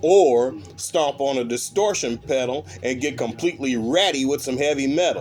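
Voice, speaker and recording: Over music in the background, a man speaks at medium pitch and a moderate pace. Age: 60s. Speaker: bass player. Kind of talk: casual chat. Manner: halting.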